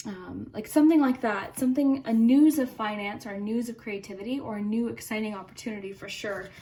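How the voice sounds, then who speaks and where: Somewhat breathy, a woman speaks at a fairly high pitch. Her pace is fairly quick, with ordinary pitch variation. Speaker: tarot reader. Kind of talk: tarot reading for online audience. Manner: calm, gentle, conversational.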